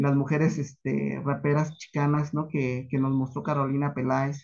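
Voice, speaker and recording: A man's fairly high-pitched, plain, everyday voice at a moderate pace with fairly even intonation and a quiet background. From Mexico, Michoacán (Paracho); Michoacán, Mexico. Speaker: academic researcher; conference presenter. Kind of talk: conference talk. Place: home room. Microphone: video call.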